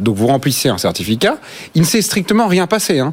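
Here a man speaks with a fairly high pitch. His pitch swings very widely. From France, Normandy. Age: 30s. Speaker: think-tank spokesperson. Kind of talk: panel debate.

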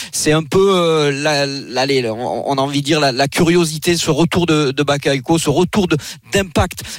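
At a moderate pace, a man speaks in an ordinary speaking voice with a fairly high pitch and ordinary pitch variation. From France, Marseille. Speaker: regional sports correspondent. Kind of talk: sports report.

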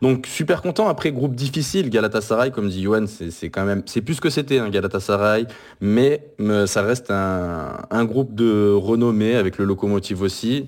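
A man at a moderate pace and fairly low pitch, on a very clean recording with a silent background. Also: ordinary pitch variation. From France. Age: 30s. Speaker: football fan podcaster. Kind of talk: casual chat. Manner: halting.

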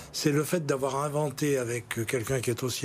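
Somewhat breathy, a man speaks at a fairly quick pace in a fairly high pitch. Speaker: lawyer and former politician. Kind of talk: TV political interview. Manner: halting, repeats words.

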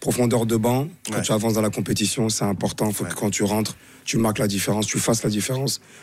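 A man talks at a very fast pace with a fairly low pitch. His loudness stays very even. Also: fairly even intonation. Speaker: football pundit, former international player. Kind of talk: casual chat.

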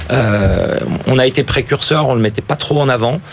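A man talks at a moderate pace with ordinary pitch variation while noticeable background noise plays. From France, Ardèche. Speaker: investment fund founder and football club president. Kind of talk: radio interview.

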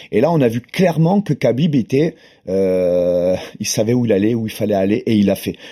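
A man speaks with a dark, mellow tone and very wide pitch swings. The recording is very clean, with a silent background. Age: 40s. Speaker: grappling and jiu-jitsu champion. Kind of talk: casual chat.

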